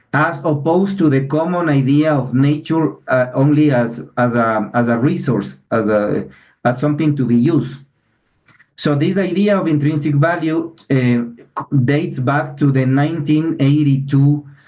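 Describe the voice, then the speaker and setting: With a non-native accent, a man speaks at a fairly high pitch and very even loudness. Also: ordinary pitch variation, moderate pace. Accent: non-native English, clear. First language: Spanish. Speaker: environmental lawyer. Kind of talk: webinar presentation. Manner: halting, many fillers and restarts.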